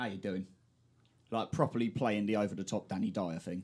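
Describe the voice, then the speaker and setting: Talking very fast with a London accent, a man uses a fairly low pitch and fairly even intonation. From South East London. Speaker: podcast host. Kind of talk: casual chat. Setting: studio.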